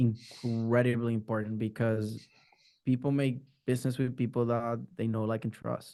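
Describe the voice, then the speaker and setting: A man with a Spanish accent talks at a moderate pace in a medium pitch, his dark, mellow tone delivered with monotone, flat intonation. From Puerto Rico. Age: 30s. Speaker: marketing strategist. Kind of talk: interview. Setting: video call. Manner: halting, repeats words.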